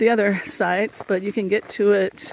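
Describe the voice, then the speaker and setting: Noticeable background noise is present. The intonation holds fairly even throughout. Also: woman. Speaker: solo camping vlogger. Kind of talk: casual talk to camera.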